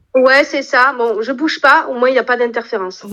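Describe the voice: Against noticeable background noise, a woman with a southern French accent speaks at a fairly quick pace in a raised, projected, high voice with fairly even intonation.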